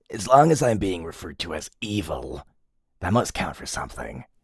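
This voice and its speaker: A man speaks at a moderate pace in a put-on character voice with a very deep, low pitch. His pitch swings very widely. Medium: audio drama. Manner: hesitant, filler-heavy.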